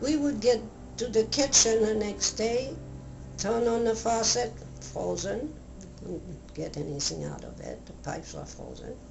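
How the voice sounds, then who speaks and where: Music can be heard behind the voice. The woman speaks at a medium tempo. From France. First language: French. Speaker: author and World War II survivor. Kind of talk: interview answer.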